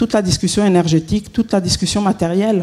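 A woman's voice amid noticeable background noise. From Switzerland. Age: 50s. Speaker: consultant and author. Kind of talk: conference talk. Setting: conference hall with audience.

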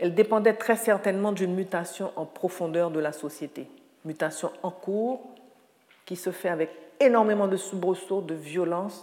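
With noticeable background noise around her, a woman at medium pitch speaks at a moderate pace with ordinary pitch variation. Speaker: writer and lecturer. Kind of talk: lecture.

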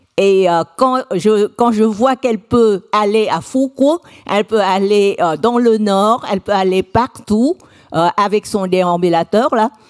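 The woman's medium-pitched voice moves at a very slow pace with very even loudness, and the sound is dry and close with no echo. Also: ordinary pitch variation. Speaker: conference moderator. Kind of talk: conference moderation. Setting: lecture hall with audience. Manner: halting, many hesitations.

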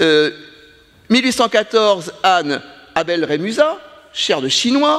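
Over noticeable background noise, a man with a high pitch speaks at a very slow pace, his pitch swinging very widely and his pauses long and frequent. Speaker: scholar of Japan. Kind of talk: round table discussion.

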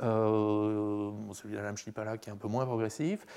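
A man speaks at a moderate pace. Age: 50s. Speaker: computer science professor. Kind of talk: Q&A discussion. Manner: halting.

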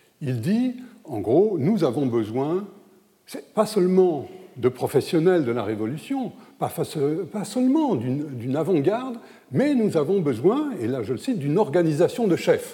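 This man has a dark, mellow tone and a high pitch. His pitch swings very widely. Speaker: historian speaking at an academic conference. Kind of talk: conference lecture. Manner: hesitant, many fillers.

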